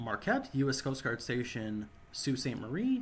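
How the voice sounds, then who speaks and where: Lively intonation and a somewhat breathy quality mark this voice with an American accent, delivered at a moderate pace. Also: man. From US Midwest. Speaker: gaming YouTuber. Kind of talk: gameplay tutorial commentary. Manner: casual.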